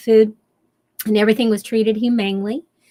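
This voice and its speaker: In a Kentucky accent, a woman speaks with monotone, flat intonation. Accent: Southern US, Kentucky. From US South, western Kentucky. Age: 70s. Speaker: shamanic teacher and author. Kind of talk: interview. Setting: radio show.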